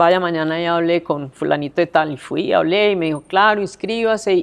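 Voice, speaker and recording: With a very deep, low pitch and ordinary pitch variation, a woman speaks at a moderate pace. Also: very clean recording, silent background. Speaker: city councillor, former prosecutor. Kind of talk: interview answer.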